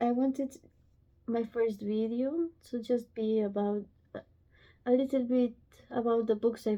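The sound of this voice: A woman speaks slowly at a fairly high pitch. Her tone is nervous.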